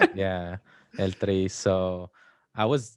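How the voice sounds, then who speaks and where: On a very clean recording with a silent background, a man with a Spanish accent speaks at a fairly low pitch with ordinary pitch variation. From Mexico. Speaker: DACA recipient. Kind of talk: casual interview.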